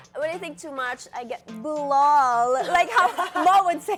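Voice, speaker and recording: Music plays in the background as a woman speaks at a fairly slow pace with high pitch and lively intonation. Her loudness swings widely. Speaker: talk show co-host.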